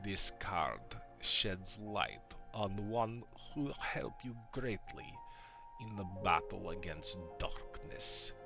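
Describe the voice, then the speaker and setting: A man puts on a raspy character voice, talking at a very slow pace with music in the background. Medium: actual play. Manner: slow, portentous.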